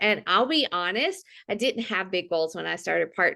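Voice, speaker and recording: Against a quiet background, a woman with a Mississippi accent speaks in a bright, sharp tone with ordinary pitch variation. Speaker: fitness coach. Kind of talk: testimony. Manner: halting.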